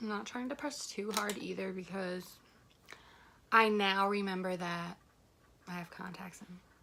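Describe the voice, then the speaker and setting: A woman speaks quietly in a bright, sharp tone with ordinary pitch variation. Long, frequent pauses break up her speech. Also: medium pitch for a woman, moderate pace. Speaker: beauty vlogger. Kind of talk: casual makeup tutorial chat.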